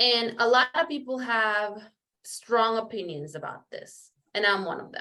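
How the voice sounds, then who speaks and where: A woman's fairly high voice at a fairly slow pace, with lively intonation and big swings in loudness. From Panama, then Aurora, Illinois from fifth grade. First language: Spanish. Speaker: interview guest, nonprofit worker and former corporate employee. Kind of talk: interview, personal story. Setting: virtual interview.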